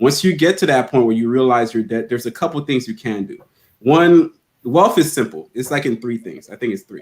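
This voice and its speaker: A man with a Haitian-American accent speaks fairly quickly at a medium pitch, with lively intonation and big swings in loudness. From Haiti, then Miami. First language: not English (English is his third language). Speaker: financial literacy educator. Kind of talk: interview. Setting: live stream.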